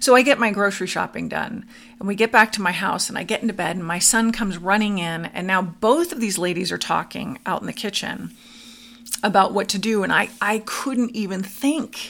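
A plain, everyday voice from a woman with an American accent, medium in pitch, at a fairly quick pace, with lively intonation. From US West Coast (Southern California). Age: 50s. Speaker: podcast host sharing her near-death experience. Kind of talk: personal testimony in interview.

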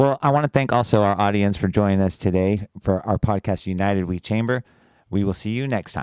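In a normal speaking voice, a man talks at a fairly quick pace and a fairly low pitch with ordinary pitch variation, in a dry, close sound with no echo on a very clean recording with a silent background. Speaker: chamber of commerce president and podcast host. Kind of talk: interview host, scripted intro then casual chat.

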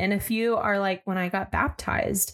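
A woman with a medium pitch, an American accent and an ordinary speaking voice at a moderate pace, on a very clean recording with a silent background. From Arizona, US. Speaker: podcast co-host, former church teacher. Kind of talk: casual spiritual conversation.

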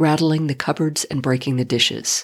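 A woman's very deep, low voice in a solemn tone, on a very clean recording with a silent background. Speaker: podcast host reading poetry. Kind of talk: poem reading aloud, book-page narration. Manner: measured, solemn, lyrical reading with pauses.

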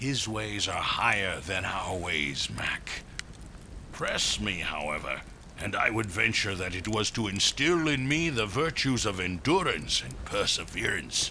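Speaking at a fairly slow pace, a man with a fairly low pitch uses very wide pitch swings. Noticeable background noise runs underneath. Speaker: army general. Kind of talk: formal, archaic 18th-century speech. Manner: mumbling, mouth kept narrow.

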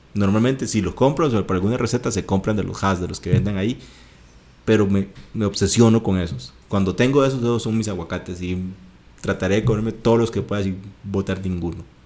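Talking with a Costa Rican accent, a man has a fairly low pitch and a dark, mellow tone. His pace is fairly quick, with ordinary pitch variation. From Costa Rica, Guanacaste. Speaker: podcast co-host. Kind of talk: casual chat.

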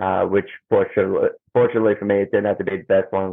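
A man speaks with an Australian accent. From Australia, Melbourne. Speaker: musician and professional wrestler. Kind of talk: interview. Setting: video call. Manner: halting, many fillers and repetitions.

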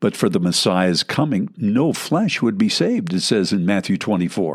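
The recording is very clean, with a silent background. A man talks at a fairly slow pace with very wide pitch swings. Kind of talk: sermon-style Bible teaching.

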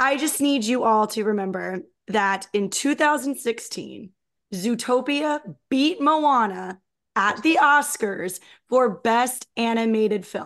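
Against a quiet background, a woman with a fairly high voice and lively intonation speaks at a very slow pace. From New Jersey. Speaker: podcast co-host. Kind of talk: casual chat.

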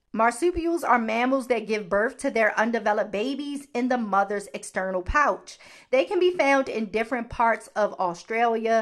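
A woman with a Baltimore accent, fairly high in pitch, at a moderate pace with hardly any pauses, ordinary pitch variation, and a quiet background. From US, Baltimore. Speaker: podcast host. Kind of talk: solo podcast talk.

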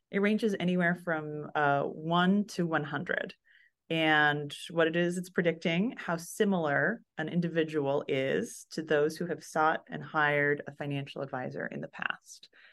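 A woman with a fairly low pitch uses an ordinary speaking voice, with ordinary pitch variation, at a moderate pace. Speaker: product designer. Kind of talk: interview.

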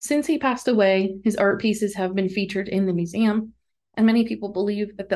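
A woman with an American accent speaks in a plain, everyday voice of medium pitch, at a fairly quick pace with fairly even intonation, against a quiet background. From northeastern Pennsylvania. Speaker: podcast host. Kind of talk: scripted narration.

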